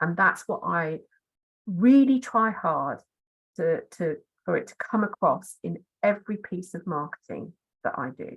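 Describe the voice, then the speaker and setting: Pausing long and often at a fairly slow pace, a woman speaks with very wide pitch swings, big shifts in loudness and vocal fry. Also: medium pitch for a woman. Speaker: marketing consultant. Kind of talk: webinar presentation. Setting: online webinar. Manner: friendly, practical and to the point.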